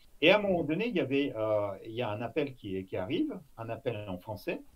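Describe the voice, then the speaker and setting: Somewhat breathy, a man with a medium pitch talks at a moderate pace with lively intonation. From Russia. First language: Russian (speaking French). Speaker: former intelligence officer. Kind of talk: interview. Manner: halting, many fillers.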